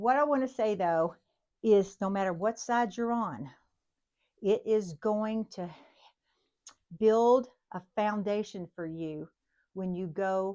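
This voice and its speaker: With long, frequent pauses and big swings in loudness, a woman speaks at a very slow pace and medium pitch with ordinary pitch variation. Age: 60s. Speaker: nursing instructor. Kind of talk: lecture. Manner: casual, conversational.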